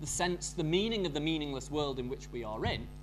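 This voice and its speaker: Someone with a strong northern English accent speaks over music in the background. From northern England. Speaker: academic conference speaker. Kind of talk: academic lecture. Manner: hesitant, with fillers and repetitions.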